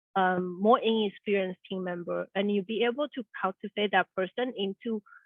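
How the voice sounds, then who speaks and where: At a moderate pace, a woman with a non-native accent speaks at medium pitch with ordinary pitch variation. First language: not English. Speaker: neuroscientist turned project manager. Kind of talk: career interview. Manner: halting.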